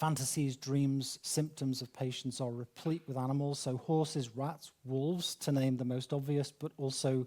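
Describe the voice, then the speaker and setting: A man speaks at a fairly slow pace with monotone, flat intonation. His tone is dark and mellow. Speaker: academic speaker. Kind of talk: lecture. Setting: conference with audience.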